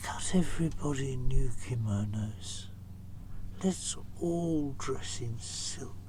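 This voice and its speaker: A man puts on a character voice at a medium pitch and a very slow pace. Loud background noise fills the recording. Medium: read story.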